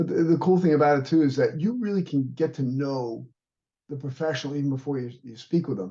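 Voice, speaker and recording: A dark, mellow tone comes through, somewhat breathy. Pitch varies in an ordinary way, and the pace is fairly quick. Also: man. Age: 60s. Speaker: martial arts instructor and fitness trainer. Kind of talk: interview.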